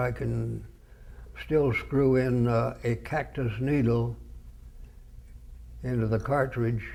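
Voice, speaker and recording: The speech goes at a very slow pace, with long, frequent pauses. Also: man. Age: 80s+. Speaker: retired radio broadcaster. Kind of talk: oral history interview answer.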